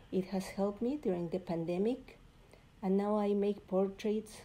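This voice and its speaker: A woman's dark, mellow tone at a very slow pace, with ordinary pitch variation. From Mexico (Puebla). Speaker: visual artist. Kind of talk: recorded artist presentation.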